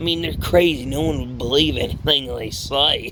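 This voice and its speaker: A man puts on a character voice. It sounds raspy. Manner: crude, sneering.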